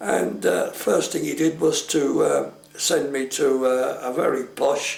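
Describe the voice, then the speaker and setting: A man with a London accent is heard amid noticeable background noise and audible room echo. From London, with early childhood in Italy. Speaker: war internee interviewee. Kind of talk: oral history interview.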